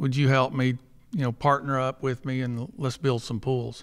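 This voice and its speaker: Intonation stays fairly even on a very clean recording with a silent background. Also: man. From Texas. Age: 50s. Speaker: pool company owner. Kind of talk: live podcast interview. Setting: stage with audience.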